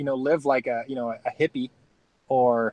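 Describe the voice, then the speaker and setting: A man speaks in a normal speaking voice at a moderate pace with ordinary pitch variation. The sound is dry and close with no echo, and the background is quiet. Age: 30s. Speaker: off-grid living youtuber. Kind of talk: casual chat.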